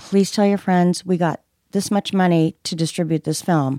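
A woman speaks in a normal speaking voice at a medium pitch, with fairly even intonation. The recording is very clean, with a silent background, and the sound is dry and close with no echo. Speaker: podcast co-host. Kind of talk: casual chat.

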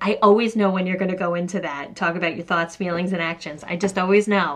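A put-on character voice in a New York accent, female-sounding and raspy, comes at a very fast pace with a medium pitch for a woman.

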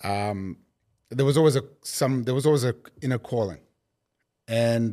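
A man with a South African accent talks at a moderate pace and medium pitch, his tone dark and mellow. The recording is very clean, with a silent background. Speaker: company executive. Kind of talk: casual chat.

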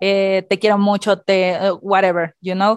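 A woman talks at a fairly slow pace and a fairly high pitch. The sound is dry and close, with no echo. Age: 30s. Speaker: podcast co-host. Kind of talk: casual chat.

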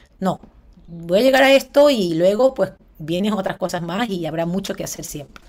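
A woman with a plain, everyday voice speaks at a moderate pace at medium pitch, her intonation lively and her loudness swinging widely. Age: 30s. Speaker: former TV presenter and businesswoman. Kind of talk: interview conversation.

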